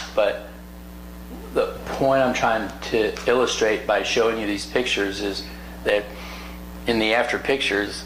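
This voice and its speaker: A man with an American accent at a fairly slow pace, with long, frequent pauses, amid audible room echo and noticeable background noise. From US South. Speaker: plastic surgeon. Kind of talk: educational talk.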